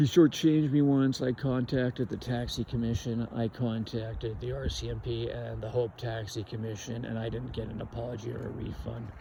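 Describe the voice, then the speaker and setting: With a Canadian accent, a man speaks at a fairly quick pace with hardly any pauses, in a normal speaking voice at medium pitch with fairly even intonation. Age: 60s. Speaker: vlogger. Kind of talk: casual monologue.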